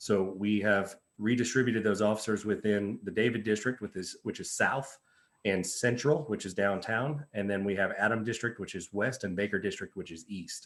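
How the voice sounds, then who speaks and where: With an unremarkable speaking voice, a man talks at a moderate pace, his fairly low pitch showing ordinary variation. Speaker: police officer. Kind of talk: presentation at community meeting.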